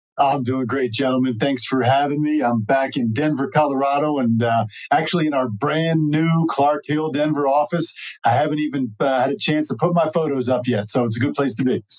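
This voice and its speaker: An unremarkable speaking voice at a fairly quick pace, with ordinary pitch variation and very even loudness. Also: man, fairly high pitch for a man. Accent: American. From New Jersey, US. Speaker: cannabis lawyer. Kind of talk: podcast interview. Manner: frequent fillers (uh).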